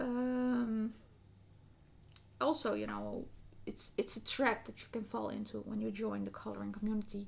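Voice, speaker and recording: The speaker is a woman with a non-native accent. She talks at a fairly slow pace. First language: not English. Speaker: colouring hobby youtuber. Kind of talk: casual vlog talk. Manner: hesitant, many fillers.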